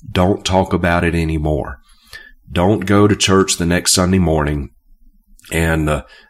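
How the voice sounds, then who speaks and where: On a very clean recording with a silent background, a man speaks in a very deep, low voice. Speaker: Bible teacher and preacher. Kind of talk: teaching video on scripture. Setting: recorded video. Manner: halting with frequent fillers.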